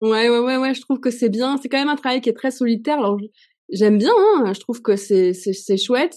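A woman with a high pitch talks fairly quickly with ordinary pitch variation against a quiet background. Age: 40s. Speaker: comic book author and illustrator. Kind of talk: casual interview. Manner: hesitant, many fillers.

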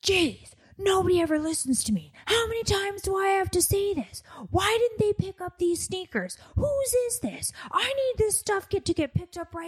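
Putting on a character voice at an extremely high pitch, a woman speaks at a moderate pace with lively intonation. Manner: exasperated, complaining.

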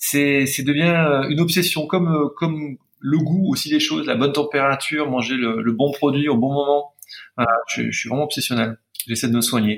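At a moderate pace, a man speaks with fairly high pitch. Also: ordinary pitch variation. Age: 40s. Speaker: pastry chef. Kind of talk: casual chat. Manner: halting.

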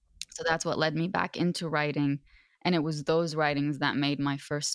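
Dry and close with no echo, a woman with an Arabic accent speaks in a flat monotone at a very deep, low pitch. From Lebanon. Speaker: author. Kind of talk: interview conversation.

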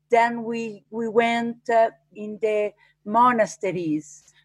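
A woman with an Italian accent, very slow, in a dry, close sound with no echo. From Italy, Umbria. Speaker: arboreal archaeologist, fruit tree preserver. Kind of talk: interview. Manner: halting.

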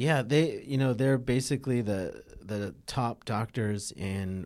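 On a very clean recording with a silent background, a man with an American accent and a medium pitch speaks at a very slow pace, with ordinary pitch variation and hardly any pauses. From US West Coast, Los Angeles area. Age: 40s. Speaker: physician and former pro surfer. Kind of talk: casual interview. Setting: in person.

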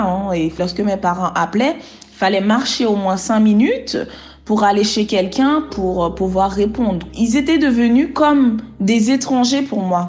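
In a room with audible echo, a woman speaks fairly slowly in a somewhat breathy voice with lively intonation. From Haiti. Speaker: interviewee sharing life story. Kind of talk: testimony. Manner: halting.

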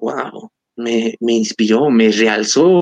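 A normal speaking voice with ordinary pitch variation comes through dry and close, with no echo. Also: man. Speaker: history podcaster. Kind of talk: interview.

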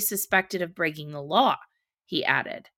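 A plain, everyday voice from a woman at a medium pitch and moderate pace, in a very clean recording with a silent background. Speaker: podcast host. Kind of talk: news commentary reading headlines aloud with snarky asides. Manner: brisk, clear newsreader delivery, sarcastic and pointed on asides; formal, even tone when reading quoted statements.

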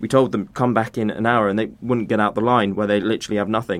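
Speaking with a British accent, a man keeps his fairly low pitch in monotone, flat intonation. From UK. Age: 20s. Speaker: aid charity founder. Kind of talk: interview.

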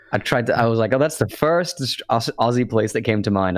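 The pace stays moderate as a man talks. His intonation is lively. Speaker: podcast host. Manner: casual, jokey storyteller.

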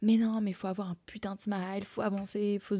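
In a very clean recording with a silent background, a woman talks at a medium pitch in a dark, mellow tone. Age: 20s. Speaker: podcast host. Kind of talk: solo monologue podcast. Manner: halting, many fillers.

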